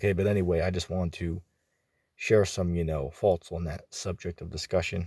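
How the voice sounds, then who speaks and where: A man with a very deep, low pitch talks at a moderate pace in a monotone, flat intonation, on a very clean recording with a silent background. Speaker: religious commentator. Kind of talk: casual religious commentary. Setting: out and about. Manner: informal, many filler words.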